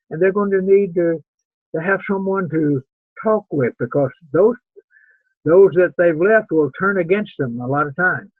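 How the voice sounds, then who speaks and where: Speaking at a fairly slow pace with long, frequent pauses, a man has a high pitch and ordinary pitch variation. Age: 80s+. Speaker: preacher teaching a class. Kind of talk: lecture. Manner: halting.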